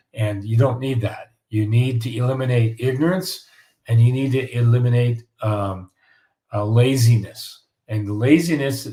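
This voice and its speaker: A man with a medium pitch and a dark, mellow tone speaks at a moderate pace with fairly even intonation, sounding somewhat breathy on a very clean recording with a silent background. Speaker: home building course host. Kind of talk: live Q&A stream. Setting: livestream. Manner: halting.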